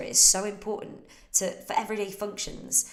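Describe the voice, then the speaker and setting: A woman with a British accent at a fairly quick pace, with audible room echo and noticeable background noise. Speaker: fitness coach. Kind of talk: Q&A livestream. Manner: casual.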